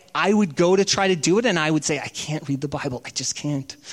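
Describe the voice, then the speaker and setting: A man with a fairly high pitch and ordinary pitch variation, at a fairly quick pace, over noticeable background noise. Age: 40s. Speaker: pastor. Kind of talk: sermon.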